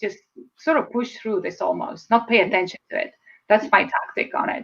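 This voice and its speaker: With an Estonian accent, a woman speaks at a fairly high pitch with lively intonation. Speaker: speaker and public speaking coach. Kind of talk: interview. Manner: fast.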